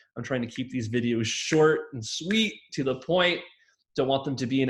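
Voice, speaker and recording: Medium-pitched male speech in a room with audible echo. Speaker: communication instructor. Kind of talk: lecture. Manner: fast; filler words.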